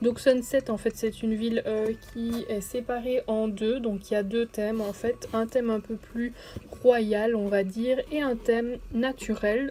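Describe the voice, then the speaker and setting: Over noticeable background noise, a woman speaks at a fairly slow pace in a fairly high pitch with monotone, flat intonation. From Belgium. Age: 20s. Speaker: gaming YouTuber. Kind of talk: let's play commentary. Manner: hesitant, many fillers.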